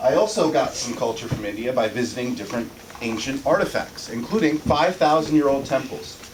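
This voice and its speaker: Noticeable background noise and audible room echo surround a man whose pitch swings very widely. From US, Indian family. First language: Tamil. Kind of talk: class presentation. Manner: halting.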